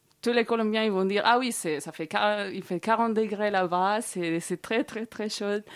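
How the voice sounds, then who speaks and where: A woman at a medium pitch, very slow pace and lively intonation, in a very clean recording with a silent background. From Colombia. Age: 30s. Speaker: guest. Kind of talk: casual interview chat. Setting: studio.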